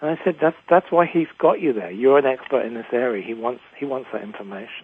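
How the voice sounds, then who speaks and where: Talking at a fairly quick pace, a man with an English accent and medium pitch shows lively intonation and big swings in loudness. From England. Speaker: executive coach and author. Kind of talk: interview.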